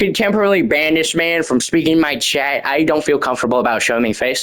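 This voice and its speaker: A man with an American accent, a high pitch and very wide pitch swings. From United States. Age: young. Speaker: gaming youtuber. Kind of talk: rant. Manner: fast.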